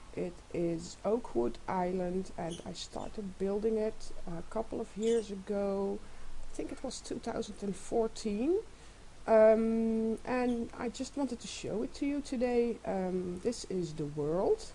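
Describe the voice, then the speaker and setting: Speaking at a very slow pace, a woman uses a fairly high pitch, a dark, mellow tone and ordinary pitch variation. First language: not English. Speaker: gamer showing a game world. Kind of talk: casual game walkthrough. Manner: halting, many fillers.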